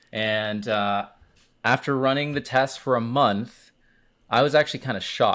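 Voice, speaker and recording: A man talks at a moderate pace and medium pitch with ordinary pitch variation. The recording is very clean with a silent background. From Miami, Florida (Cuban Puerto Rican). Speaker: B2B advertising expert. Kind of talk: casual interview chat.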